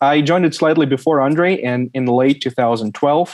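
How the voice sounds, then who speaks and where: A man with a Russian accent speaks at a moderate pace. His intonation is fairly even. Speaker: supply chain specialist. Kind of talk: interview.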